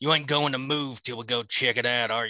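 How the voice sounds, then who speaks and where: A man's put-on character voice in a Southern US accent, medium in pitch, fairly quick in pace, with fairly even intonation. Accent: Southern drawl, imitating a film character. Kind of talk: comic dramatic reading. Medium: read story. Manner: folksy, gruff.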